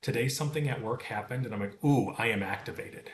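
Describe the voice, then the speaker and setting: Fairly quick speech in a plain, everyday voice, ordinary in pitch variation. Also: man. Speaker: meditation teacher. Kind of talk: tutorial.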